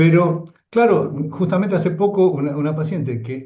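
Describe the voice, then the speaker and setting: With an Argentine accent, a man speaks in a high voice with lively intonation. His tone is dark and mellow. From Argentina. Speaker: psychoanalyst lecturer. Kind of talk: lecture discussion.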